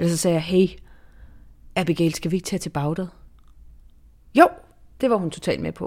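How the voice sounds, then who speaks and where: Her pitch is fairly low and varies in an ordinary way. The woman moves at a fairly quick pace, broken by long, frequent pauses. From southern Zealand, Denmark. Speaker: foreign correspondent and author. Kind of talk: interview conversation.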